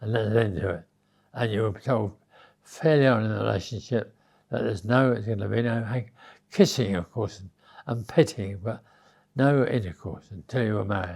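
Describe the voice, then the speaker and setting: A man speaks with an English accent, leaving long, frequent pauses. The recording is very clean, with a silent background. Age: 90s. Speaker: interviewee recalling his youth. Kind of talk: interview storytelling. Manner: halting.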